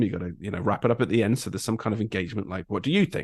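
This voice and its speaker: A man's very fast, fairly low voice with an English accent and lively intonation. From England. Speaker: graphic designer and content creator. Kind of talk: podcast interview. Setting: podcast recording. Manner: halting, many ums and ahs.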